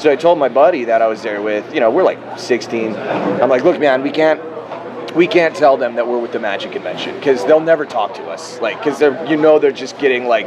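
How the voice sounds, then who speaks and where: A man with an American accent talks fairly quickly in a fairly high voice with ordinary pitch variation, amid noticeable background noise and audible room echo. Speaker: magician. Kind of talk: interview. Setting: live in person in Las Vegas.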